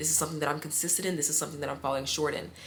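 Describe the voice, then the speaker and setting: Her pitch very deep and low, a woman speaks with fairly even intonation and a bright, sharp tone amid audible room echo. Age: 20s. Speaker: vlogger and fashion design graduate. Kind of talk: casual vlog monologue. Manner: hesitant, many fillers.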